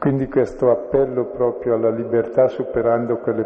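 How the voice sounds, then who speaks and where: A man's voice with fairly even intonation against noticeable background noise. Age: 70s. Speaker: priest leading a bible study. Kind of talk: bible study lecture.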